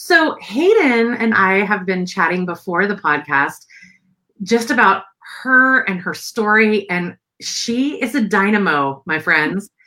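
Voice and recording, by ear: A woman speaks slowly with lively intonation. Her tone is bright and sharp. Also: medium pitch for a woman.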